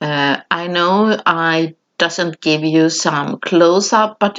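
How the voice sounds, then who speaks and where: Speaking with a non-native accent, a woman talks. Her pace is very slow. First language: not English. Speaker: mixed media artist, craft tutorial creator. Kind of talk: voiceover craft tutorial. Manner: halting, with many fillers.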